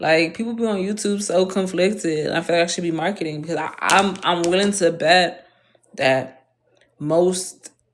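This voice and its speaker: In a Northern US accent, a woman speaks at a moderate pace. Her voice is fairly low and her tone is animated. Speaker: vlogger. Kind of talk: casual monologue.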